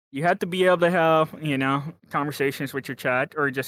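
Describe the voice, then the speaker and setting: A man with a Texan accent talks at a fairly quick pace in a bright, sharp tone with fairly even intonation, the sound dry and close with no echo. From Texas. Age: 20s. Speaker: office worker and writer. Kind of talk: casual chat. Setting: online voice or video call.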